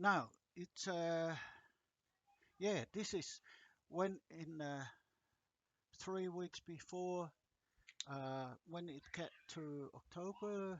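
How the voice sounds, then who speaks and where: Very slow speech in a strong non-native accent, with long, frequent pauses and ordinary pitch variation. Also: man, high pitch for a man. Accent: thick non-native. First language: not English. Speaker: agriculture lecturer. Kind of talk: lecture. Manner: halting, many fillers.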